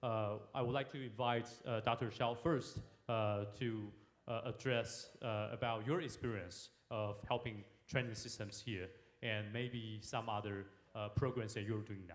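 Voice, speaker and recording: Fairly slow, fairly even speech from a man at medium pitch, with audible room echo. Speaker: forum moderator, government security official. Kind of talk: panel discussion moderation. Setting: stage at international forum. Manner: halting, many fillers.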